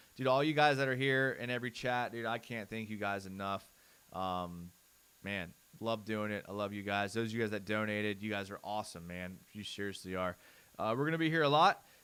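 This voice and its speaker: Loud and energetic, a man with a fairly low pitch and a bright, sharp tone speaks at a fairly quick pace on a very clean recording with a silent background. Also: ordinary pitch variation. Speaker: sports channel host. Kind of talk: live stream film breakdown. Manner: casual, energetic.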